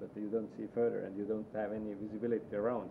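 Noticeable background noise surrounds a man who talks fairly quickly in a fairly low voice. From Estonia. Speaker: rally driver; guest. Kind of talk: casual chat. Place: home room.

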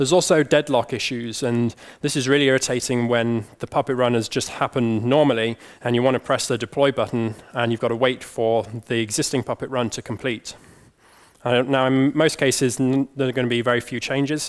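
With fairly even intonation and a fairly quick pace, a man talks against a quiet background. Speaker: conference speaker. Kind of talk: technical conference talk. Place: hall.

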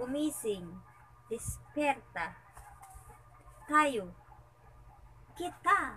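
A woman uses a raised, projected, high voice at a very slow pace, with very wide pitch swings and long, frequent pauses over light background noise. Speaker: sleepy partner in a dialect challenge. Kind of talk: casual reading of a word list, translating Tagalog words into Chavacano. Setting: recorded secretly, indoors. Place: home room. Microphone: phone near.

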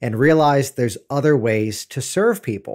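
Against a quiet background, the speech moves at a moderate pace. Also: man. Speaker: podcast host. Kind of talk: podcast intro monologue. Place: studio. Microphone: studio mic.

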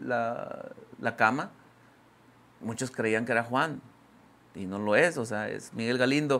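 A man speaks at a moderate pace. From Mexico, Guadalupe, Nuevo León; Nuevo León, Mexico. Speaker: grupero singer; interviewee. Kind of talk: casual interview. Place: studio. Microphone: lapel.

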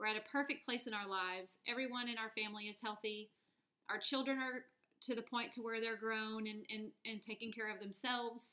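With an American accent, the speaker talks fairly quickly in a flat monotone over a quiet background. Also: woman, fairly high pitch for a woman. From US South, North Texas (Dallas area). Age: 30s. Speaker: vlogger. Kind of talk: personal video blog. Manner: hesitant, with fillers. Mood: hopeful, earnest. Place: home room. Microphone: webcam.

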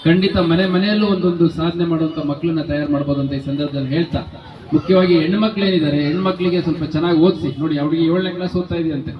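Amid audible room echo and noticeable background noise, a man speaks with a high pitch and fairly even intonation. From Karnataka, Chitradurga. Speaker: police commissioner. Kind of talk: public speech. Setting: public meeting.

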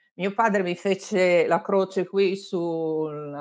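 Against a quiet background, a woman talks very slowly. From Lombardy, Abbiategrasso near Milan; Lombardy. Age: 60s. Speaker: journalist and author; interviewed journalist. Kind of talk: interview. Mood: warm, reflective. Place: home room.

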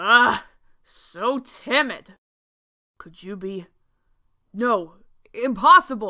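A woman in a put-on character voice. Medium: audio drama. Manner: menacing, taunting.

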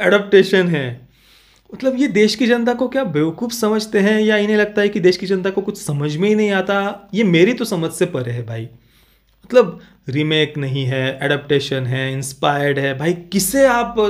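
Here a man's high voice moves through very wide pitch swings. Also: moderate pace, quiet background. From India. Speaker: film reviewer YouTuber. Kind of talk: video review monologue. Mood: critical, annoyed. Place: home room. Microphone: studio mic.

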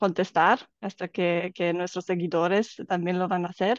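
A woman with a Romanian accent speaks at a medium pitch with fairly even intonation, her voice dry with no echo against a quiet background. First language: Romanian (speaking Spanish). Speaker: life coach. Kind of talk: casual chat. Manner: halting. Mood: warm, smiling. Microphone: video call.

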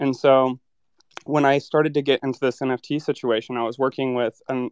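A man speaks with monotone, flat intonation at medium pitch. The sound is dry and close, with no echo. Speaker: NFT project manager. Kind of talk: casual chat.

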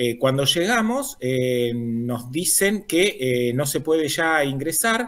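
A man at a very slow pace with hardly any pauses, fairly high pitch, lively intonation and a quiet background. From Argentina, Río Negro. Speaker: environmental activist. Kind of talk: news interview. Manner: halting, many fillers. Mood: earnest, denouncing. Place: home room.

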